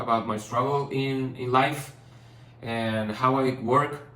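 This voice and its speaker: A man with a non-native accent speaks at a medium pitch and a fairly slow pace, his intonation fairly even. There is audible room echo and noticeable background noise. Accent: non-native English, rusty. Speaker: painter and vlogger. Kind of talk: personal vlog. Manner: halting, many fillers and restarts.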